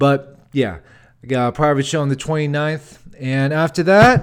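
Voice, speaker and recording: The recording is very clean, with a silent background. In it a man talks in an animated tone at a fairly high pitch. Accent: American. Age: 30s. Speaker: comedian and podcast host. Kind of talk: casual solo podcast monologue. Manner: animated, casual with filler words.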